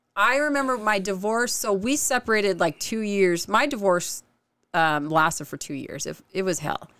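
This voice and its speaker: With an American accent, a woman speaks at a moderate pace in a bright, sharp tone and very wide pitch swings. Her recording is very clean, with a silent background. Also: medium pitch for a woman. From Oregon. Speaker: podcaster.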